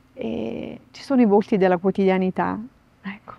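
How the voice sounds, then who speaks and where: A woman with a medium pitch is heard in a dry recording with no echo. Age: 50s. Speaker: nun and sign language interpreter; interviewee. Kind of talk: interview. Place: garden. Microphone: lapel.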